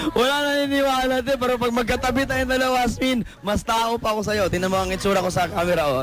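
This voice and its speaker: Over background music, a man talks at a very fast pace with hardly any pauses, his pitch extremely high. His intonation is lively, and his loudness is very even. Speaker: radio DJ. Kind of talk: casual banter. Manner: animated, loud.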